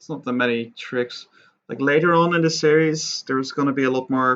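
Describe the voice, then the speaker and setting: Soft-spoken, a man keeps his intonation fairly even. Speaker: 3D art tutorial creator. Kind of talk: tutorial. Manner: quiet, soft-spoken.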